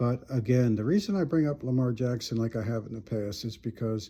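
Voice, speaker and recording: On a very clean recording with a silent background, a man with a medium pitch and a somewhat breathy voice speaks at a moderate pace. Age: 70s. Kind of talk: personal testimony monologue. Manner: halting, many repetitions.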